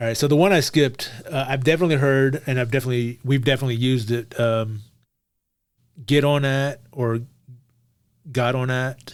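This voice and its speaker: A fairly quick pace in an American accent, broken by long, frequent pauses. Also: man, medium pitch for a man, fairly even intonation. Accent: reduced Texas accent, stronger around family. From Texas, Beaumont. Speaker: podcast co-host. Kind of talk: casual chat.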